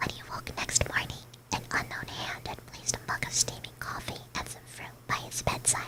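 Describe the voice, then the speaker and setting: A whispered voice moves at a moderate pace over noticeable background noise. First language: Spanish. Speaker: vtuber streamer. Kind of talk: ASMR bedtime story reading. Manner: whispering.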